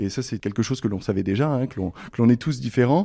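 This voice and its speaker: A man with a dark, mellow tone at medium pitch talks with ordinary pitch variation on a very clean recording with a silent background. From France, Essonne (Paris region). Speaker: naval officer and helicopter pilot. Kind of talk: interview. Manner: halting, frequent hesitations.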